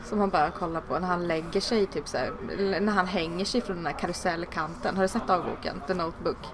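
Against noticeable background noise, a woman with a fairly low pitch speaks at a fairly quick pace with fairly even intonation. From Sweden. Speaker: podcast host. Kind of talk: interview.

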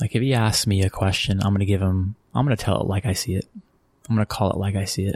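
A man with an American accent talks at a very fast pace, his pitch fairly low and his intonation fairly even. The sound is dry and close with no echo, his loudness very even and his voice somewhat breathy. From Texas (Abilene, San Antonio). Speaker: sports marketing executive. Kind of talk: interview.

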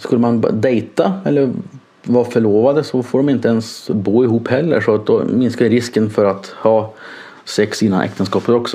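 Speech at a moderate pace with ordinary pitch variation and very even loudness, over noticeable background noise. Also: man, medium pitch for a man. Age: 30s. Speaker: nurse. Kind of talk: personal monologue. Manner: halting.

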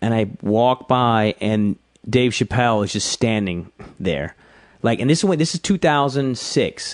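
This is a plain, everyday voice with an American accent and ordinary pitch variation. The recording is dry and close, with no echo. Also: man. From US South, South Georgia. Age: 30s. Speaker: stand-up comedian. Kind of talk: casual chat.

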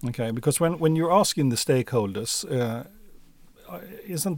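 In a very clean recording with a silent background, a man speaks with a Swedish accent. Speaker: podcast co-host. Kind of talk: interview.

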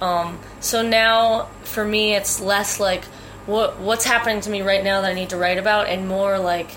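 Speaking with an American accent at a moderate pace, a woman keeps a medium pitch and a monotone, flat intonation. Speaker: singer-songwriter. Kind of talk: interview.

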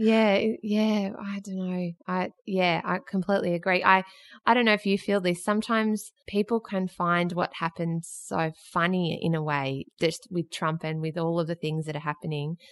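A woman talks at a moderate pace in an Australian accent. Her pitch varies in an ordinary way, and the sound is dry and close with no echo. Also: medium pitch for a woman, quiet background. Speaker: podcast host. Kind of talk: interview. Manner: laughs a lot.

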